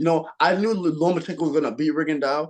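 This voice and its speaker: With an American accent, a man speaks in an animated tone marked by vocal fry. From New York (Queens, Brooklyn, Long Island). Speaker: professional boxer. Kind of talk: casual chat.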